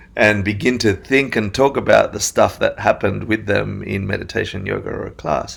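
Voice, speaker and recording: A man talks at a fairly quick pace with vocal fry in his voice. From Argentina then Australia from age ten. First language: Spanish. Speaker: meditation teacher. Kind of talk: casual interview chat.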